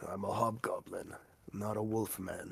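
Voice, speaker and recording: A raspy, put-on character voice delivers the lines at a moderate pace. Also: man, medium pitch for a man. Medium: actual play. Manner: gruff, scornful.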